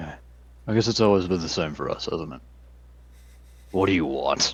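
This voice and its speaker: Putting on a character voice, a man speaks at a moderate pace in a very deep, low pitch over light background noise. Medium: actual play. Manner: bitter, sardonic.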